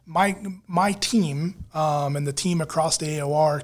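An ordinary speaking voice with an American accent and ordinary pitch variation comes through on a very clean recording with a silent background. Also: man. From Virginia Beach, Virginia, US. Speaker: public works director. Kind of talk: casual interview.

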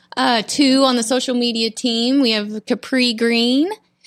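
Speaking at a moderate pace with an American accent, a woman uses a high pitch with ordinary pitch variation. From Florida Panhandle. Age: 40s. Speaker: podcast host, social media team member. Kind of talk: casual chat. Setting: studio.

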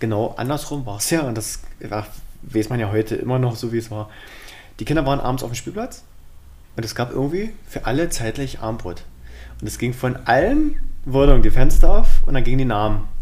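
A man speaks with long, frequent pauses, big swings in loudness and ordinary pitch variation, with audible room echo around him. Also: medium pitch for a man, fairly quick pace. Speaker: podcast co-host. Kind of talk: casual chat.

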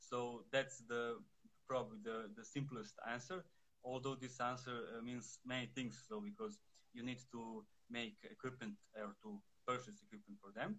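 Someone with a Serbian accent speaks at a moderate pace with ordinary pitch variation. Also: man, medium pitch for a man. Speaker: fencing instructor. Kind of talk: interview. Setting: phone livestream. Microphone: too quiet.

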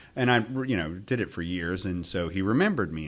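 With an American accent, a man speaks at a fairly quick pace in a very deep, low pitch, with ordinary pitch variation over a quiet background. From US South. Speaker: automotive columnist. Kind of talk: interview. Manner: hesitant, many fillers.

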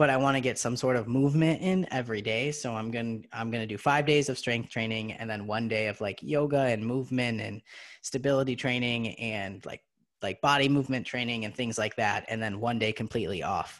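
In a plain, everyday voice, a man speaks at a fairly quick pace against a quiet background, his medium pitch showing ordinary variation. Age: 30s. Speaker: podcast co-host. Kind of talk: casual chat.

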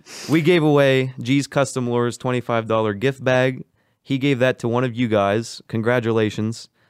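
A man speaks in a normal speaking voice at a moderate pace, with medium pitch, ordinary pitch variation, and a dry, close sound with no echo on a very clean recording with a silent background. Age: 20s. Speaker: podcast host. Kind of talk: casual chat.

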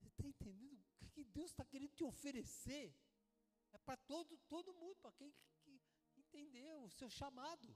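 Pitched extremely high, a man talks at a fairly quick pace with ordinary pitch variation, big swings in loudness, and long, frequent pauses. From Brazil, São Paulo. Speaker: preacher. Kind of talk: sermon. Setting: church service. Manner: animated.

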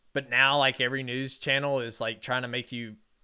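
Here a man speaks at a fairly quick pace and a medium pitch, his tone bright and sharp. The recording is very clean, with a silent background. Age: 30s. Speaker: podcast host. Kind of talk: motivational monologue. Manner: animated.

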